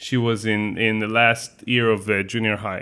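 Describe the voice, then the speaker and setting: Speaking at a moderate pace with an Israeli accent, a man keeps his intonation monotone and flat. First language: Hebrew. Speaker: photographer and magazine co-founder. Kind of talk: interview conversation.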